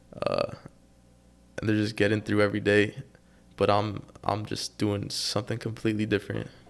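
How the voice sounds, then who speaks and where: With an American accent, a man speaks at a fairly quick pace in a fairly low pitch, his delivery monotone and flat, with vocal fry and long, frequent pauses. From Texas, Austin. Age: young. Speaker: young entrepreneur. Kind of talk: interview. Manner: halting.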